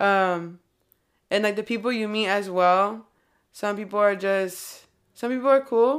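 In a very clean recording with a silent background, a woman with a Californian accent speaks at a fairly slow pace, with a medium pitch and fairly even intonation. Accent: California. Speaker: rapper. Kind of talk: casual interview chat.

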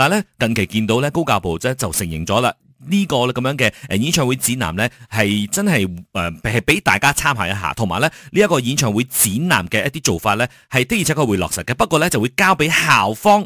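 Very wide pitch swings mark a man's bright, sharp tone at medium pitch and a fairly quick pace. The recording is very clean with a silent background and a dry, close sound with no echo. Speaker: radio host. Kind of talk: morning radio news discussion.

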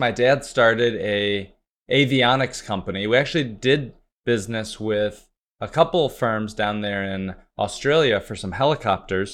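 With an unremarkable speaking voice, a man keeps a moderate pace and ordinary pitch variation. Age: 40s. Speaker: entrepreneur. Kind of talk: podcast interview.

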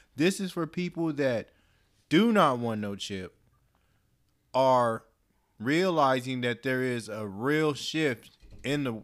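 A man speaks with lively intonation. The recording is very clean and the background silent. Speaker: guest. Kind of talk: casual conversation. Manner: soft-spoken.

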